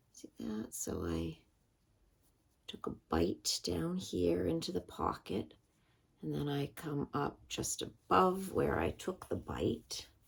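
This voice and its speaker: A woman with a very deep, low voice and vocal fry speaks at a very slow pace, her pitch swinging very widely. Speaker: crafter. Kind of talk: craft tutorial. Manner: casual, halting.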